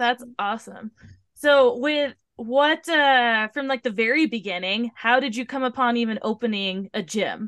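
A woman with an American accent speaks in a high voice. Her pace is fairly slow, and her pitch varies in an ordinary way. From US Pacific Northwest (Tacoma, Washington). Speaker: podcast host and fitness trainer. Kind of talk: casual interview.

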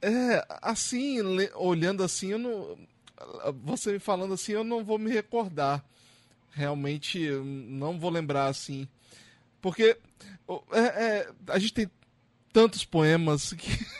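This man speaks very slowly at a high pitch, with lively intonation. He leaves long, frequent pauses. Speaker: podcast host. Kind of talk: casual interview. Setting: video call.

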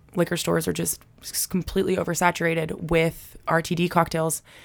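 A woman speaks with vocal fry at a fairly low pitch. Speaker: distillery representative. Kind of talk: casual chat.

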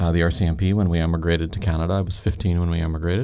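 A man speaks with very deep, low pitch and fairly even intonation. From Northern Ireland, Belfast. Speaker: founder of an anti-trafficking charity, former forensic weapons specialist. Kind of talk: interview testimony. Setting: studio.

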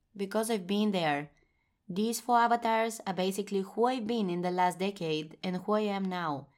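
Speaking with a Bulgarian accent, a woman uses a medium pitch, ordinary pitch variation and a moderate pace on a very clean recording with a silent background. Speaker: podcast host and blogger. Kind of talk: solo podcast monologue.

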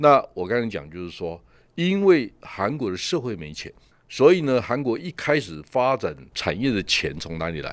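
With a Taiwanese accent, a man speaks at a medium pitch with very wide swings in a very clean recording with a silent background. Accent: Taiwanese Mandarin. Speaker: tech industry commentator, show host. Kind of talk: casual chat.

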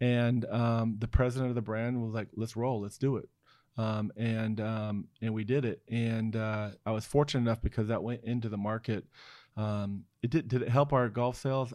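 A man's medium-pitched voice, dark and mellow, with flat, monotone intonation at a moderate pace against a quiet background. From Oregon, US (born in South Korea, adopted at seven months). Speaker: brand design executive. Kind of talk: casual interview.

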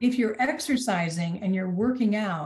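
A woman's somewhat breathy voice with lively intonation. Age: 60s. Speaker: executive coach. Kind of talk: casual chat.

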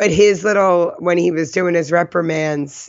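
Speaking at a moderate pace with an American accent, a woman uses a fairly low pitch and ordinary pitch variation. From New Jersey. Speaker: podcast co-host. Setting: San Francisco area.

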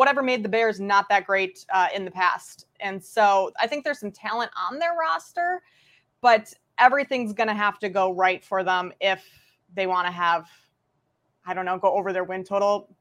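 With a plain, everyday voice, a woman at a medium pitch talks at a moderate pace with ordinary pitch variation over a quiet background. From Minnesota. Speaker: sports betting analyst. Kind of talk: casual chat.

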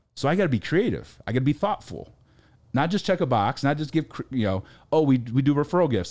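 Using vocal fry and very wide pitch swings, a man with an American accent and a fairly high pitch talks at a fairly quick pace. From US Midwest, rural Ohio. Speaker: author and speaker on business gifting. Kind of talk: casual interview chat.

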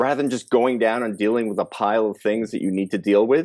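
Against a quiet background, a man with a plain, everyday voice talks at a fairly quick pace, at a medium pitch, with ordinary pitch variation. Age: 50s. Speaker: weight loss coach and podcaster. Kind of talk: interview conversation.

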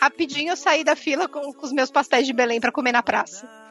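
A high-pitched woman with ordinary pitch variation, over noticeable background noise. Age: 30s. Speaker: veterinarian, podcast listener guest. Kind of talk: casual chat.

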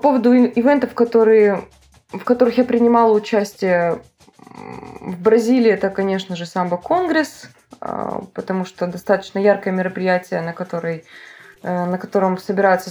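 A woman's medium-pitched voice with a dark, mellow tone, at a moderate pace. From Russian Far East, Vladivostok. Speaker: dance school director and choreographer. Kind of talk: interview.

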